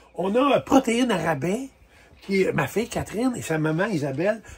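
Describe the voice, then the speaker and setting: A man with a Quebec accent and very wide pitch swings. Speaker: tattoo artist and charity walk organizer. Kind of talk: casual fundraising announcement video.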